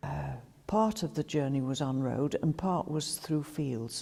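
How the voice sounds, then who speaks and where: A woman speaks with a Staffordshire accent. Her tone is dark and mellow, and her intonation is lively. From Rudyard, Staffordshire, England. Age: 80s+. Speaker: local resident recalling village life. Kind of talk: reminiscence.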